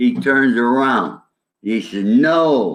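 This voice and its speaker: A man with a New York accent, fairly high in pitch, with very wide pitch swings. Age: 70s. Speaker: ex-mobster. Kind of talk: interview.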